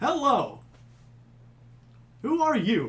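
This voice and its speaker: The speaker puts on a character voice pitched high. There is audible echo on the recording. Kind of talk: radio voice.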